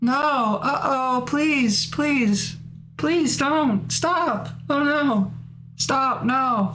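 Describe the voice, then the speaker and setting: Over clear background noise, a female-sounding voice puts on a high-pitched character voice and speaks at a very slow pace. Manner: terrified, begging.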